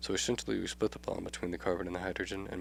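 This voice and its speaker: Very fast, lively speech from a man with a very deep, low pitch and vocal fry. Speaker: chemistry tutor. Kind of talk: educational tutorial explanation.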